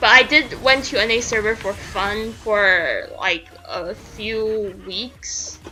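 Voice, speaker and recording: A woman talks very slowly, her pitch varying in an ordinary way, with noticeable background noise around her. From Canada. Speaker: video game streamer. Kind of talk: casual live-stream chat. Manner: halting, repeats words.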